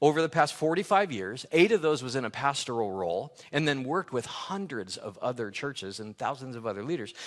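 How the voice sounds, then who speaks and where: With an American accent, a man talks at a fairly quick pace with vocal fry. His pitch takes very wide swings. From Los Angeles, California. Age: 60s. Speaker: pastor. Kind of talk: sermon.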